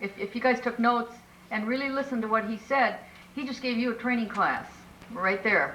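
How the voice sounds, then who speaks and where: A woman with a fairly high voice talks while noticeable background noise carries on. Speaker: multi-level marketing trainer. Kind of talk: training presentation. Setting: business meeting.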